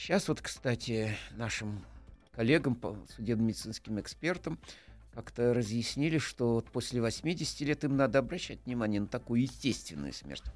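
Man at a medium pitch and moderate pace with lively intonation, over music in the background. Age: old. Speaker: pathologist, professor. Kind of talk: interview. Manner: halting, with fillers.

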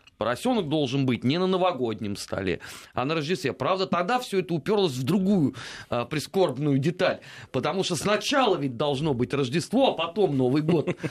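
A man at a fairly high pitch and moderate pace, with very wide pitch swings. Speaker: radio host. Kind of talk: casual chat. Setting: studio.

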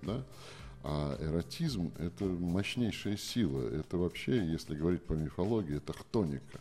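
A man with a very deep, low pitch and a dark, mellow tone speaks at a moderate pace with lively intonation. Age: 60s. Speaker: literary scholar and lecturer. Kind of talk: radio interview. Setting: live radio broadcast from a museum.

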